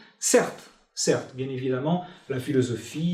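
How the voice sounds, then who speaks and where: A somewhat breathy man at a fairly slow pace, ordinary pitch variation, and audible room echo around him. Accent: Portuguese. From Portugal. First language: Portuguese (speaking French). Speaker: philosopher. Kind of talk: interview. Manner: hesitant, many fillers.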